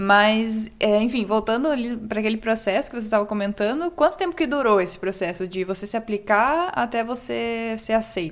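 A woman speaks in a normal speaking voice at a moderate pace. Her pitch is fairly high, and her intonation is lively. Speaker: podcast co-host. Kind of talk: casual interview chat.

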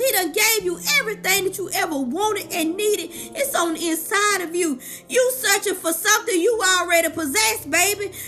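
Amid noticeable background noise, a woman with an extremely high pitch projects her raised voice at a moderate pace, her tone warm and animated and her intonation lively. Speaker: life coach and motivational speaker; podcaster. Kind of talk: sermon-style motivational preaching. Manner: animated, call-and-response preacher cadence; warm, encouraging, fervent.

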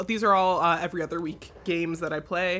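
A woman with a fairly low pitch speaks in a bright, sharp tone on a very clean recording with a silent background. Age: 20s. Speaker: tabletop game master. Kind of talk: casual chat.

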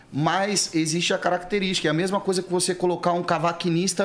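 A man with a high pitch speaks at a very fast pace in a monotone, flat intonation. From São Paulo, Interlagos. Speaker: pagode musician. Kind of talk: casual chat.

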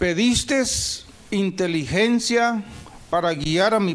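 At a very slow pace, a man speaks with a high pitch and ordinary pitch variation. Noticeable background noise is present. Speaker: pastor. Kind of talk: sermon. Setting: church. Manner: animated, exhortatory preaching with frequent call-and-response (amén, aleluya); fervent, rhythmic, repeating 'hermanos' often.

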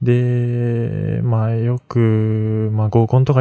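Against a quiet background, a man with a slight western Japanese accent speaks in a dark, mellow tone. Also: dry, close sound with no echo. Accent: slight western Japanese (Kansai-like). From Mie Prefecture, western Japan. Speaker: student podcaster. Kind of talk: solo late-night radio-style monologue. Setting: at home, late at night. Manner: rambling, hesitant with fillers.

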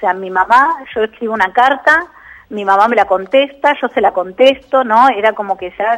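A woman speaks in a Rioplatense accent at a fairly high pitch with ordinary pitch variation. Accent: Argentine Rioplatense Spanish. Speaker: psychologist and author. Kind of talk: radio interview.

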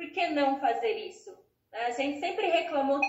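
A woman speaks with very wide pitch swings. Audible room echo surrounds her voice. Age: 30s. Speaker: psychologist. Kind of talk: interview.

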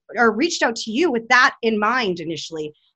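Against a quiet background, a woman uses a raised, projected voice with very wide pitch swings. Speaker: podcast co-host. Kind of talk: casual interview chat.

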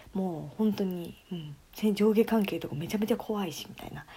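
Somewhat breathy and dark, mellow in tone, a woman speaks at a moderate pace with medium pitch and lively intonation. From Tokyo, Japan. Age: 20s. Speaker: podcast co-host, office worker. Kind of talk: casual chat.

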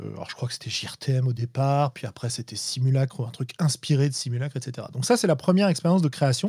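A man's medium-pitched, dark, mellow, somewhat breathy voice at a very fast pace with hardly any pauses and ordinary pitch variation, in a dry, close sound with no echo. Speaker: tabletop game designer and podcaster. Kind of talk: casual chat. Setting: live online stream.

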